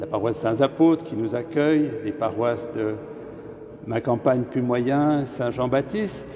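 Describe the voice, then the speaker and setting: A man at medium pitch and a very slow pace, with ordinary pitch variation over noticeable background noise. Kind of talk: sermon. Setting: cathedral. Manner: halting.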